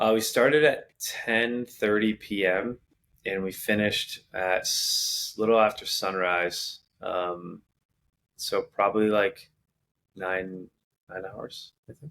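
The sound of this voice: Speaking slowly, a man uses fairly low pitch, fairly even intonation and a fairly bright tone.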